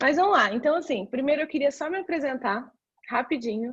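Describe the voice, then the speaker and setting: A woman's voice with ordinary pitch variation. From Brazil, São Paulo. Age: 30s. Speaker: career mentor. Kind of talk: presentation talk. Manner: halting.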